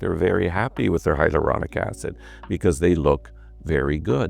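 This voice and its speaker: A man talks fairly quickly while music runs in the background. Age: 60s. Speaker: cosmetic doctor. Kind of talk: interview. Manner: animated.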